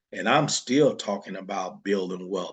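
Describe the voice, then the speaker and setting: A man talks against a quiet background. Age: 60s. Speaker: wealth-building teacher. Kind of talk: motivational talk. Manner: halting.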